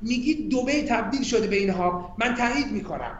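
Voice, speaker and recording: Amid noticeable background noise and audible room echo, a man with an extremely high pitch speaks at a fairly quick pace with lively intonation. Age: 40s. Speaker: tech strategy executive. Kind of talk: interview.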